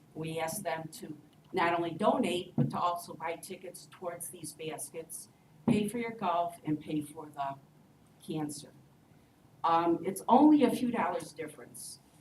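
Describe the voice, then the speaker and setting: There is audible room echo as a woman speaks at a fairly low pitch and moderate pace, with ordinary pitch variation and big swings in loudness. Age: 60s. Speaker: resident addressing city council. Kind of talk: public comment at council meeting.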